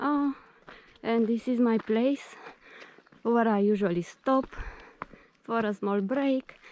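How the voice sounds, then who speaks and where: With a non-native accent, a woman speaks at a very slow pace in a fairly high pitch, with ordinary pitch variation, long, frequent pauses and very even loudness. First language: not English; speaks Greek daily for 20 years. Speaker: vlogger. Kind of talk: casual vlog narration. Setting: outdoors on a nature path. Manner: hesitant, many fillers.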